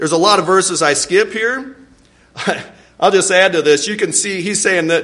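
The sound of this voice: Lively intonation carried by an unforced reading voice.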